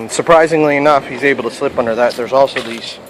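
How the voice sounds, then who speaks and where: A man with a fairly high voice talks against noticeable background noise. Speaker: pest control technician. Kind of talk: tutorial.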